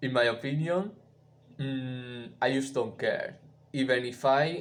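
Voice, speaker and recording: This man talks very slowly. He has a non-native accent. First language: not English. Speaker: musician and live streamer. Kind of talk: live stream chat. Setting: live stream. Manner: halting, many fillers.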